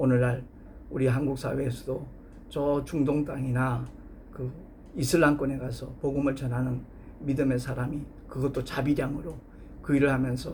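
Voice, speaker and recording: A man's medium-pitched, somewhat breathy voice at a moderate pace, monotone and flat, with long, frequent pauses and audible room echo. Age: 60s. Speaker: pastor. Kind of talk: sermon.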